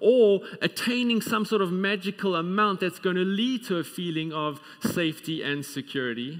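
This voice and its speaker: Pitched high, a man speaks at a moderate pace, his pitch varying in an ordinary way over a quiet background. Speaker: preacher. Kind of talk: sermon. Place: church.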